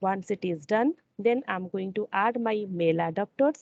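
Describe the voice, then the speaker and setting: A woman talks at a moderate pace in a normal speaking voice. The sound is dry and close, with no echo. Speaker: software integration trainer. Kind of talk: tutorial.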